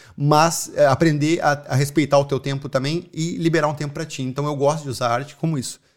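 On a very clean recording with a silent background, a man with a strong Porto Alegre accent speaks at a fairly high pitch and a fairly quick pace, with hardly any pauses and monotone, flat intonation. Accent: strong gaúcho (Porto Alegre). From southern Brazil, Porto Alegre. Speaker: artist and muralist. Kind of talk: casual interview.

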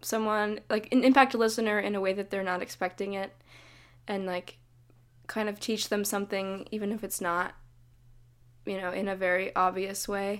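With an American accent, a woman talks at a moderate pace in a medium pitch with ordinary pitch variation. She leaves long, frequent pauses, and the recording is very clean with a silent background. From US West Coast, Davis, Northern California. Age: 20s. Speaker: folk singer-songwriter. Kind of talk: interview.

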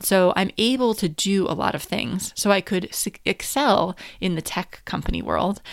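In a very clean recording with a silent background, a woman speaks at medium pitch and a moderate pace, with lively intonation and vocal fry. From US, New Hampshire. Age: 40s. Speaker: podcast host, business coach. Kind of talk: personal monologue.

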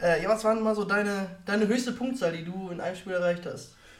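A man with a high voice talks very fast, with ordinary pitch variation. Noticeable background noise and audible room echo are present. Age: 20s. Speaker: podcast host. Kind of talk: casual chat. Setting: live podcast recording.

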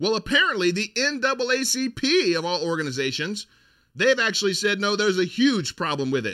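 Raised, projected male voice, high-pitched with a bright, sharp, animated tone, very wide pitch swings, and a fairly quick pace, on a very clean recording with a silent background. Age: 40s. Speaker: political commentary podcast host. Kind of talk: sponsor plug; monologue commentary.

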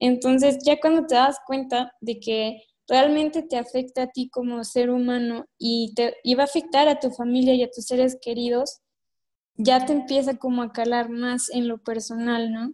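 A woman speaks at a high pitch with a dark, mellow tone. Her delivery is fairly slow, with monotone, flat intonation. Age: young. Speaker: youth environmental activist. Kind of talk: interview.

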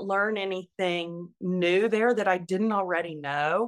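A woman with an unremarkable speaking voice speaks at a medium pitch and a fairly slow pace. The recording is very clean, with a silent background. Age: 60s. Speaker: retired nurse. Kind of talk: interview.

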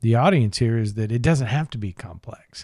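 A man speaks in a plain, everyday voice at medium pitch with ordinary pitch variation. The recording is very clean with a silent background, the sound dry and close with no echo. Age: 50s. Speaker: podcast host, business broker. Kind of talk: interview.

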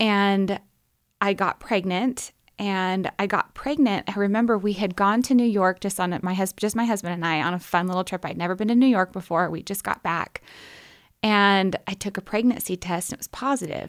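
A woman with an American accent speaks at a medium pitch and moderate pace, with ordinary pitch variation. Hers is an unremarkable speaking voice in a very clean recording with a silent background. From US Pacific Northwest, Portland, Oregon. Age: 30s. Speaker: nurse anesthetist and cancer patient. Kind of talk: interview testimony.

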